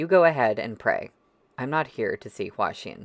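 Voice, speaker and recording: A raspy, put-on character voice at a moderate pace, with a quiet background. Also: man, fairly high pitch for a man. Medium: read story. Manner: terse.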